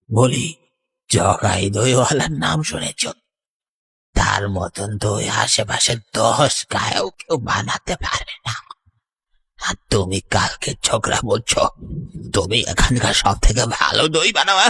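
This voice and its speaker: A man puts on a cartoonish character voice that is raspy and medium in pitch. He delivers it at a very slow pace. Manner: sly, teasing.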